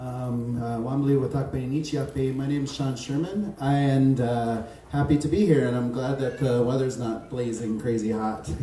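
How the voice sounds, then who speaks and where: Against noticeable background noise and audible room echo, a man with a medium pitch talks at a fairly slow pace with fairly even intonation. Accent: American. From US Midwest, South Dakota (Pine Ridge reservation, Spearfish). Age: 40s. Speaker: chef. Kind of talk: talk to an audience. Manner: casual, hesitant with fillers.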